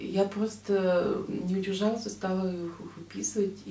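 A woman speaks at a fairly slow pace with audible room echo around her. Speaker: book vlogger. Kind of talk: book review vlog talk. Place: home room. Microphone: webcam.

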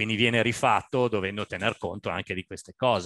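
Speaking at a moderate pace with ordinary pitch variation, a man is heard over a quiet background in a dry sound with no echo. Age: 60s. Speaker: architect. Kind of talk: lecture. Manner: halting. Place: home room. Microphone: headset.

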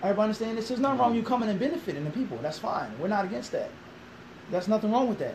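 The speaker talks at a very fast pace with a Philadelphia accent and ordinary pitch variation, over light background noise. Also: man, high pitch for a man. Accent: Philadelphia American English. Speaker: imam. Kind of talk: interview. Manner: animated. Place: classroom. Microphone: camera far.

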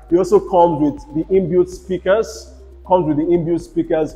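Moderate-paced speech from a man over faint background music. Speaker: real estate tour host. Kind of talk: property tour commentary. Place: home room. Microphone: lapel.

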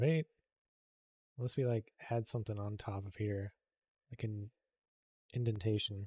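A man with a fairly low pitch and a dark, mellow tone talks at a moderate pace, somewhat breathy, with fairly even intonation and long, frequent pauses. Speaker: game modder livestreamer. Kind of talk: live stream modding commentary. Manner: casual, hesitant with fillers.

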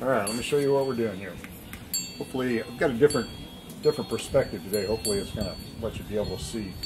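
A man's voice over noticeable background noise. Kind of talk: cooking tutorial. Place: garden. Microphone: camera far.

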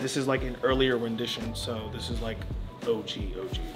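Clear music sits in the background as a man speaks. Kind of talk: casual show-and-tell commentary. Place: shop.

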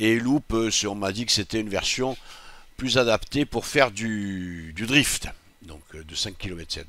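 In a dry recording with no echo, a man talks with a fairly low pitch, a bright, sharp tone and ordinary pitch variation. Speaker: sim racing youtuber. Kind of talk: casual gaming commentary. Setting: home recording, gameplay voiceover. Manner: informal, chatty, thinking aloud. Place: home room. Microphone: headset.

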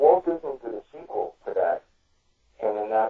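A man speaks at a moderate pace. He has a New York accent. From New York City, Brooklyn. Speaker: true crime author. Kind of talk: casual chat.

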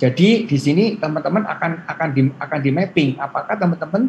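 With light background noise behind him, a man speaks at a fairly quick pace with ordinary pitch variation. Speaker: university lecturer presenter; presenter. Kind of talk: presentation to students. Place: home room. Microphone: video call.

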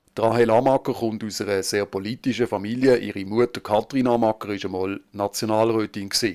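A man speaks at a fairly quick pace with hardly any pauses, his fairly low pitch flat and monotone. The sound is dry and close with no echo. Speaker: local TV reporter. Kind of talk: news narration.

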